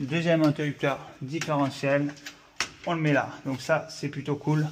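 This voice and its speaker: Noticeable background noise runs under this clip. A man with a fairly high pitch talks at a very slow pace. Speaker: electrician. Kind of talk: tutorial. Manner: casual.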